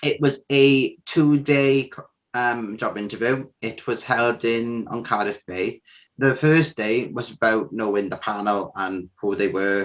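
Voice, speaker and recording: Speaking with a South Welsh accent, a man with a medium pitch uses lively intonation at a fairly slow pace over a quiet background. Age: 20s. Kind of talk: interview testimony. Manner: hesitant, with fillers.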